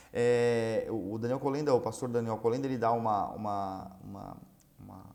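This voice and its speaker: Audible room echo surrounds the voice. A man speaks at a medium pitch with fairly even intonation. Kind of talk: religious teaching lesson. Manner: fast.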